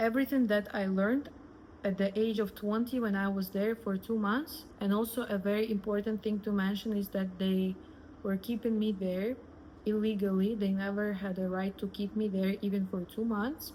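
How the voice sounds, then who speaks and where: In a Russian accent, a woman speaks at a moderate pace with a medium pitch and fairly even intonation. Her voice is somewhat breathy with a dark, mellow tone, and its loudness stays very even. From Russia, Moscow. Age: 20s. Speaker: influencer. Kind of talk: personal storytelling.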